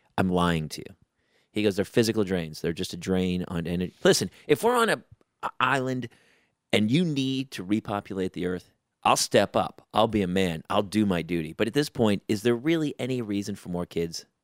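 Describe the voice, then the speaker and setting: Recorded very cleanly over a silent background, a man with a plain, everyday voice and an American accent talks fairly quickly at a fairly low pitch with lively intonation. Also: dry, close sound with no echo. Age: 40s. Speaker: stand-up comedian and actor. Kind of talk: casual chat.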